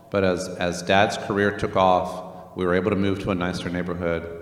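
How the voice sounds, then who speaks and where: Against noticeable background noise and audible room echo, a man talks at a fairly quick pace in a very deep, low pitch. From Northern Virginia, US. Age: 50s. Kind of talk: church teaching session. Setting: church, livestreamed. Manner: hesitant, many fillers.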